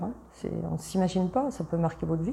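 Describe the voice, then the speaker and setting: A woman speaks in an Italian accent at a medium pitch, with a dark, mellow tone. Vocal fry runs through her voice. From Italy, moved to Paris suburbs as a child. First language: Italian (speaking French). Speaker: travel company founder. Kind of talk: interview. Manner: animated; halting.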